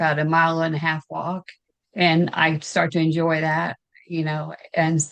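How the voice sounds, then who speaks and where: With a Southern US accent, a woman speaks at a fairly low pitch. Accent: Southern US (Georgia). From US South, Augusta, Georgia. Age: 60s. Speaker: weight loss client. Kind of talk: interview testimony. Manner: halting, many fillers.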